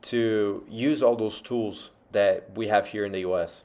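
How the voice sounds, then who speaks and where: A man's medium-pitched, fairly slow speech with a Portuguese accent, on a very clean recording against a silent background. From Brazil. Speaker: vlogger. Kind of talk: casual monologue.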